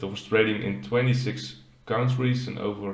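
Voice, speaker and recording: With a Dutch accent, the speaker talks at a moderate pace with lively intonation, and the room echo is audible. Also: man. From Netherlands. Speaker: finance YouTuber. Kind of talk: tutorial.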